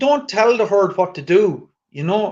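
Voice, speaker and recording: A man with a rural Irish accent talks with very wide pitch swings. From rural Ireland. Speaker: activist guest. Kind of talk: casual chat.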